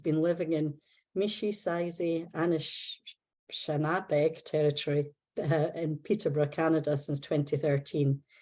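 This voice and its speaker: A woman speaks at a fairly slow pace with a Scottish accent and a fairly low pitch. Her tone is dark and mellow, and the background is quiet. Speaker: seminar host. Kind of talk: formal introduction. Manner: formal.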